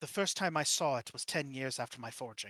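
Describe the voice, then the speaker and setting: Using a put-on character voice, a man talks at a fairly quick pace and medium pitch. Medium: actual play. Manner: talkative, matter-of-fact.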